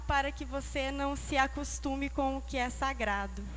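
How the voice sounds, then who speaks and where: A woman with a São Paulo interior accent speaks at a fairly slow pace, with audible room echo around her voice. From interior of São Paulo state, Brazil. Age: young. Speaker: Bible school student. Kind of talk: testimony. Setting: church.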